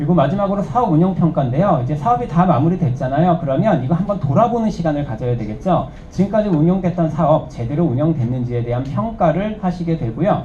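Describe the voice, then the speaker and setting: A man with fairly high pitch and lively intonation talks at a very fast pace with hardly any pauses. Audible room echo and noticeable background noise surround him. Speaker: instructor. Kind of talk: lecture.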